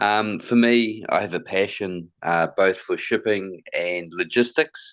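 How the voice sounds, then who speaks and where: Against a quiet background, a man with a New Zealand accent speaks at a very slow pace. His pitch varies in an ordinary way. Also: fairly low pitch for a man. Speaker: logistics company manager. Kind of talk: interview. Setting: video call.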